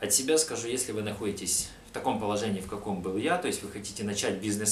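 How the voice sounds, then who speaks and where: Here a man talks at a fairly quick pace with lively intonation. Audible room echo and light background noise come through. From Ukraine. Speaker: customer giving a testimonial. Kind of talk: customer testimonial. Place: home room.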